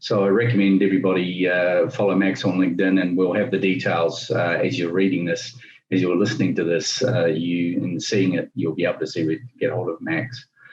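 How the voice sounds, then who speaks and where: A man with a New Zealand accent, very deep and low in pitch, at a fairly quick pace with hardly any pauses, over noticeable background noise. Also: ordinary pitch variation. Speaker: business interview host. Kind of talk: interview. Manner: hesitant, many fillers.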